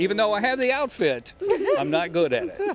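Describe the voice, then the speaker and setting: Noticeable background noise sits behind a man speaking in an upbeat tone. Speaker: TV morning show field reporter. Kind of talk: live TV field segment.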